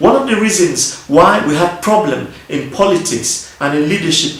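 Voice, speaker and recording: The speech moves at a moderate pace with ordinary pitch variation, while noticeable background noise runs beneath it. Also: man. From Nigeria. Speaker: politician. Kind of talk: video address to an audience.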